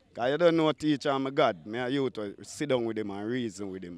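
Recorded dry with no echo, a man speaks with a strong Jamaican accent. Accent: Jamaican patois, strong. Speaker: dancehall artist; interviewee. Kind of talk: casual interview; interview answer. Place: waterside. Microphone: handheld.

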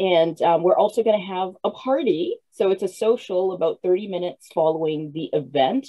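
With lively intonation, a woman speaks with hardly any pauses. The background is quiet. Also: moderate pace. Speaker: author and host of listening party. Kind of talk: casual hosting chat. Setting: video call. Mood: upbeat, animated. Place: home room. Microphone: video call.

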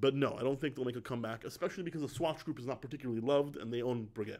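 A man with a fairly high pitch and ordinary pitch variation speaks over a quiet background. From Spain (Madrid), Italian family. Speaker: watch YouTuber and dealer. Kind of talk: casual Q&A vlog. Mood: relaxed, thoughtful. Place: office. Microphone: studio mic.

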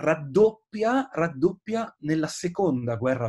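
A somewhat breathy male voice with very wide pitch swings. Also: quiet background. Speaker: historian and author. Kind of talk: book presentation interview. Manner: hesitant, many filler sounds. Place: home room. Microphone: webcam.

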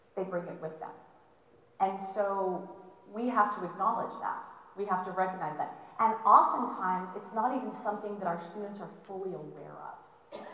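Spoken at a moderate pace with ordinary pitch variation, the voice carries audible room echo. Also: woman, medium pitch for a woman. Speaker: college history instructor. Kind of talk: lecture. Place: hall.

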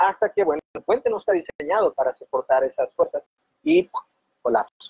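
Dry sound with no echo, a man talking at a moderate speed. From coastal Mexico. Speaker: fluid simulation researcher; guest. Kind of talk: casual interview. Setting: video call. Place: home room. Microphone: video call.

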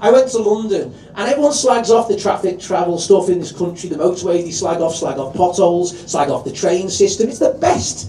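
Amid noticeable background noise, a man with a high pitch talks at a fairly quick pace with hardly any pauses and ordinary pitch variation. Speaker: comedy compere. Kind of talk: stand-up compering. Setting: stage with audience. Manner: loud.

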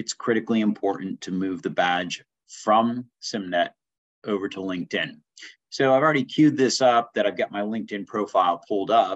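An unremarkable speaking voice from a man, fairly low in pitch, at a moderate pace with ordinary pitch variation and a quiet background. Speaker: instructor. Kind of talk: tutorial. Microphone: webcam.

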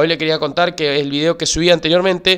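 A man speaks in a high pitch. His intonation stays fairly even. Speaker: crypto YouTuber. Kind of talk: tutorial. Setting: screen-share video recording.

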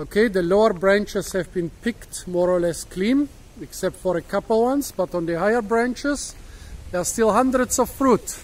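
A man with a high pitch talks at a moderate pace with ordinary pitch variation. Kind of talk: casual educational commentary. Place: garden. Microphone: phone near.

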